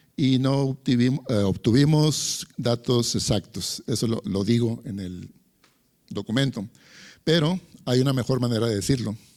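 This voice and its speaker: An ordinary speaking voice from a man unfolds at a fairly slow pace, with ordinary pitch variation. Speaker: lecturer. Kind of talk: lecture.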